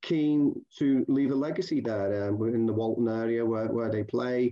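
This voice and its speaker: An unremarkable speaking voice from a man at medium pitch, fairly slow in pace, with ordinary pitch variation and very even loudness. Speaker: football journalist. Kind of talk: interview.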